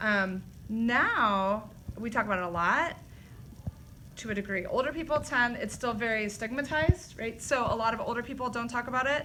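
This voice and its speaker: A woman with a plain, everyday voice, fairly high in pitch, talks at a fairly quick pace with ordinary pitch variation. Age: 40s. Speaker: teacher. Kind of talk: personal reflection in a school video.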